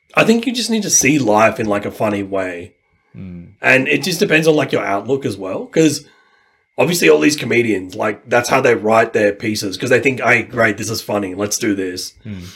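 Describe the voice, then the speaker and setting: A fairly quick pace with an Australian accent. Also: man, medium pitch for a man, lively intonation. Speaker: language learner. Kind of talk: casual chat.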